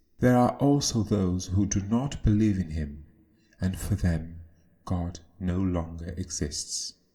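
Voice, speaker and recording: A man's very deep, low voice, somewhat breathy and dark and mellow in tone, at a very slow pace. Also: ordinary pitch variation. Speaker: video essayist. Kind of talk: scripted narration.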